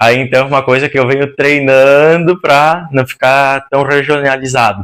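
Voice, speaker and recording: At a fairly slow pace, a man with a fairly high pitch talks with fairly even intonation and very even loudness. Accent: strong Rio Grande do Sul. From Rio Grande do Sul, Brazil. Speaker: interior designer. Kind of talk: podcast interview.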